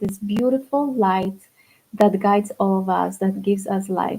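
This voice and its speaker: A woman speaks at medium pitch with a Polish accent. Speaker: spiritual coach. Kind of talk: livestream talk. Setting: livestream.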